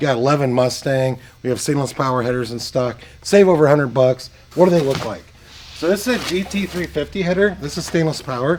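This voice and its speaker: The speech moves at a very fast pace with ordinary pitch variation, noticeable background noise behind it. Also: man, fairly high pitch for a man. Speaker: performance car parts shop owner. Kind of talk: sales pitch walkthrough. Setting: shop and warehouse. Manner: animated.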